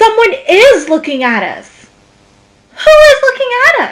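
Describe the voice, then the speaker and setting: Putting on a squeaky character voice at extremely high pitch, a woman speaks at a fairly slow pace with very wide pitch swings. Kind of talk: kindergarten read-aloud. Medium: read story.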